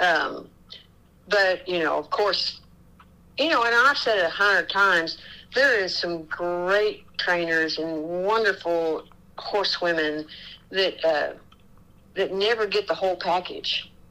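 A woman with an American accent speaks at a fairly slow pace in a medium pitch with ordinary pitch variation, her bright, sharp tone broken by long, frequent pauses on a very clean recording with a silent background. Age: 60s. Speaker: barrel racer and horse trainer. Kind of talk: interview.

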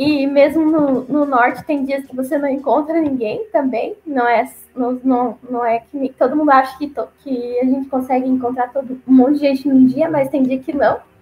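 With a southern Brazilian accent, a woman speaks at a high pitch. Her pace is moderate. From Paraná, southern Brazil. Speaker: returned missionary. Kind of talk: interview testimony.

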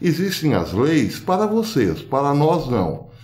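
A man with a fairly high pitch speaks with very wide pitch swings, and audible room echo surrounds his voice. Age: old. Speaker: political commentary youtuber. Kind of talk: video monologue commentary.

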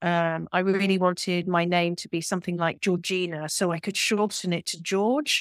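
In a British accent, a woman speaks at a fairly low pitch with fairly even intonation. Her delivery has a moderate pace and hardly any pauses. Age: 50s. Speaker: yoga teacher and embodiment coach. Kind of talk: interview conversation.

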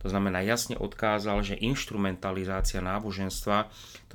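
A man speaks at a moderate pace with a fairly low voice, recorded very cleanly against a silent background. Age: 50s. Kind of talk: interview.

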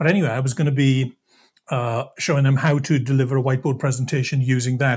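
On a very clean recording with a silent background, a man with a medium-pitched, somewhat breathy voice talks at a very fast pace with fairly even intonation. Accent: Welsh. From Wales, Swansea. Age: 50s. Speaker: sales presentation trainer. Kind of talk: podcast interview.

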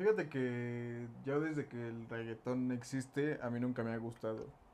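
At a fairly slow pace, a man with a Mexican accent talks at a medium pitch with fairly even intonation. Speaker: podcast co-host and band musician. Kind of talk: casual chat.

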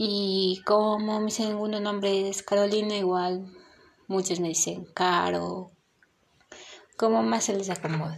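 A woman talks very slowly, pausing often and for a long time. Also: medium pitch for a woman, ordinary pitch variation. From Ecuador. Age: 20s. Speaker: podcaster. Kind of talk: casual monologue. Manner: halting.

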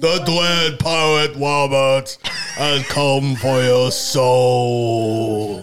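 Using a put-on character voice, a man speaks at a medium pitch and a very slow pace. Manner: menacing.

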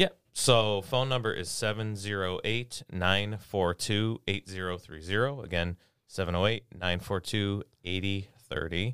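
Recorded very cleanly against a silent background, in a dry, close sound with no echo, a man with a normal speaking voice talks at a fairly slow pace, his pitch fairly low with ordinary variation. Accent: American. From Chicago area, Illinois. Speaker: attorney. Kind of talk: casual interview.

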